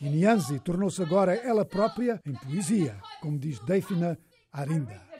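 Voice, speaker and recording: Over noticeable background noise, a high-pitched man speaks at a fairly slow pace with very wide pitch swings. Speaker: news reporter. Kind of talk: news reading. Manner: formal, steady.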